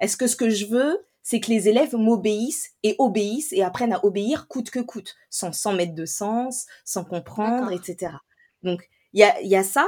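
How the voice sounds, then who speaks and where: A woman speaks in an ordinary speaking voice with fairly high pitch. Her intonation is lively and her pace moderate. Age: 30s. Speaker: teacher trainer and coach. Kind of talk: interview conversation.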